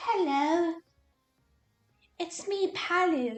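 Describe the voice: High-pitched to an extreme, a put-on character voice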